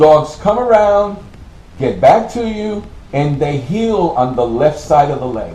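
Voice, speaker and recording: Loud and at a fairly slow pace, a man's fairly high voice makes very wide pitch swings amid noticeable background noise and audible room echo. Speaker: military veteran. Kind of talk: interview testimony.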